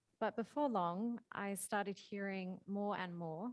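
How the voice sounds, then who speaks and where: A woman with an Australian accent, fairly even in intonation, at a moderate pace. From Australia, Perth. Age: 20s. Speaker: marine conservation charity worker. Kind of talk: prepared talk. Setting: hybrid school event with audience.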